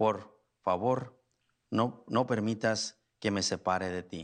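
A man is speaking at a fairly low pitch. His intonation stays fairly even. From Mexico, Guanajuato. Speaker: priest. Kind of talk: sermon. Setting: church.

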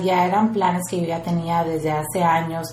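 A woman speaking at a fairly slow pace, with audible room echo and noticeable background noise. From rural Mexico. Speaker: entrepreneur and activist. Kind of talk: interview. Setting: office.

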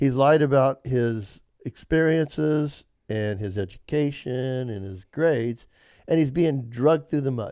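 Delivered at a fairly slow pace, the voice has a dark, mellow tone and ordinary pitch variation on a very clean recording with a silent background. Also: man, medium pitch for a man. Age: 60s. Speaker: podcast co-host. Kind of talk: casual chat. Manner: animated.

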